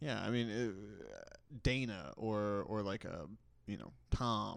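Speaking very slowly with an American accent, a man with a fairly low pitch and ordinary pitch variation leaves long, frequent pauses amid audible room echo. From Texas. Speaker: podcast co-host. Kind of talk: casual chat.

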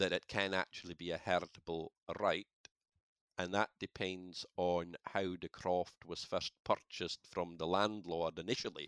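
In a Shetland accent, the speaker holds a flat, monotone intonation at a moderate pace. The recording is dry and close, without echo. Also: man, very deep, low pitch for a man, very clean recording, silent background. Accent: Shetland Scottish. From Shetland, Scalloway. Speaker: crofting law solicitor. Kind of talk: interview, explanatory.

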